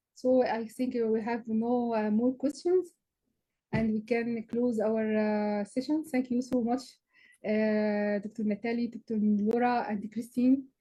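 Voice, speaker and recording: With an Arabic accent, a woman speaks in a dark, mellow tone at a fairly high pitch, with fairly even intonation and a fairly slow pace. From Egypt. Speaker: physician and researcher, session moderator. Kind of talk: panel discussion Q&A. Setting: online video session. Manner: halting.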